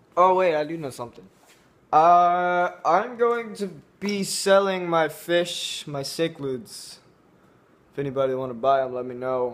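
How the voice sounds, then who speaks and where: A man speaks at a fairly slow pace with big swings in loudness. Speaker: vlogger. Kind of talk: casual vlog chat. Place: home room. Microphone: phone near.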